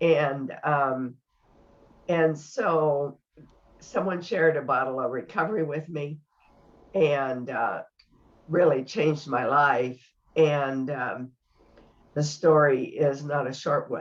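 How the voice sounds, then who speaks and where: Speaking at a very slow pace with long, frequent pauses, a woman uses a very deep, low pitch and ordinary pitch variation. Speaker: product user sharing testimony. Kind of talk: testimony. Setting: video call. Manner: hesitant, many fillers.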